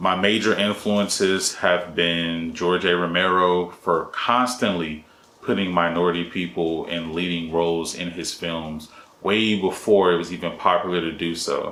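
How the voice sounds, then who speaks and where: A man speaks at a fairly slow pace with fairly even intonation. His tone is bright and sharp, and the room echo is audible. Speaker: independent filmmaker. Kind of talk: solo talking-head explainer video. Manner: monotone.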